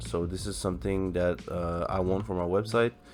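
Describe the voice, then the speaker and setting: Music plays in the background as a man talks in a very deep, low voice with ordinary pitch variation. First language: French. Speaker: tech YouTuber, software developer. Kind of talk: coding tutorial. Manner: halting, many fillers.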